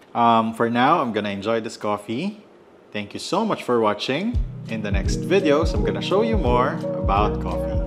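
A man talks at a moderate pace. Clear music can be heard in the background. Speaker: coffee vlogger. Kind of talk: casual vlog chat. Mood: cheerful, enthusiastic. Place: home room.

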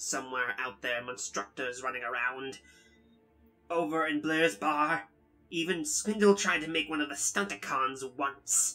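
Over music in the background, a put-on character voice at a low-to-middle pitch moves at a moderate pace. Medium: dub. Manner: defensive, agitated then earnest.

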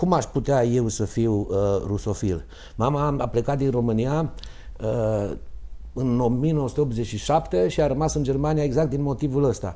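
A man speaks with a dark, mellow tone. His pace is very slow and his pitch varies in an ordinary way. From Romania, Târgu Mureș; Romania. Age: 50s. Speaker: doctor and mayoral candidate; candidate. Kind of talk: political debate. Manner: halting. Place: studio. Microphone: lapel.

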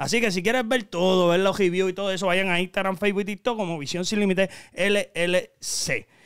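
A man's high voice in a Puerto Rican accent, fairly quick with hardly any pauses and fairly even intonation, in a very clean recording with a silent background. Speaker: YouTube channel host. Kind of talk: casual chat. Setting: studio. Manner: talkative.

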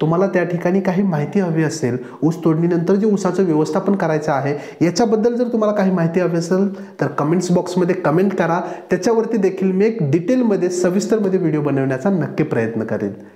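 A man speaks at a high pitch with ordinary pitch variation. Audible room echo surrounds his voice. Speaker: presenter. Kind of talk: news explainer to farmers. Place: home room.

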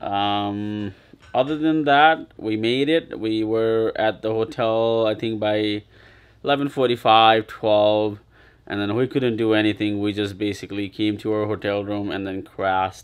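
A man speaks with an ordinary speaking voice, fairly low in pitch. His pace is fairly slow and his pitch varies in an ordinary way. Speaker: family travel vlogger. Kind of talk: casual vlog chat. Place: home room. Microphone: phone near.

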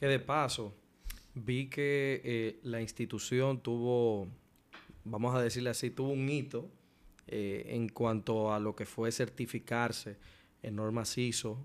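This man speaks at a very slow pace with fairly even intonation. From Dominican Republic. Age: 20s. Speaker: podcast host. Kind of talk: interview. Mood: polite, respectful, engaged. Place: studio. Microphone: studio mic.

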